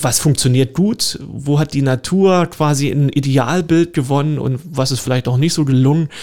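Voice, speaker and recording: The pace runs fairly slow. A dark, mellow tone carries ordinary pitch variation. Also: man. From Lusatia, eastern Saxony (Görlitz, Horka). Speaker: park director and garden historian. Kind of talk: radio interview. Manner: hesitant, many fillers.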